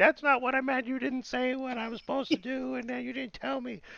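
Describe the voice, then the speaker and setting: A man's put-on character voice, squeaky and whiny, extremely high-pitched yet monotone and flat, at a very fast pace. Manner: whiny, complaining.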